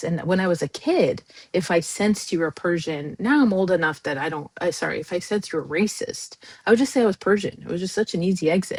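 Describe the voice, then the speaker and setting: Lively intonation and an animated tone in an Iranian accent, dry and close with no echo. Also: woman. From Iran / Iranian American. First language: Farsi. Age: 40s. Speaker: democracy advocate. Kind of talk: podcast interview. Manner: animated, with many fillers.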